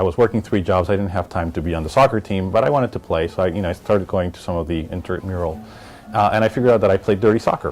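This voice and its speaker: A man with a Spanish accent talks at a very fast pace in a very deep, low pitch with fairly even intonation, amid noticeable background noise. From Miami, Florida (born in Colombia). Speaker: business executive. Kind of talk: interview testimony. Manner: relaxed, conversational with many fillers.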